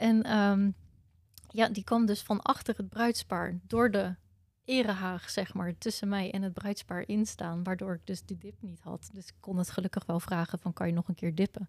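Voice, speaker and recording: At a moderate pace, a woman with a medium pitch talks in a somewhat breathy voice with fairly even intonation and big swings in loudness, the sound dry and close with no echo. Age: 30s. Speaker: wedding photographer. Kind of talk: casual interview.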